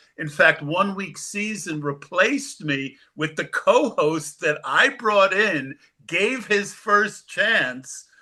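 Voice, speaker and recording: A man's raised, projected voice sits at a high pitch, with a bright, sharp tone and lively intonation. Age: 60s. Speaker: fantasy football analyst. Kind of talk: interview. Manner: halting.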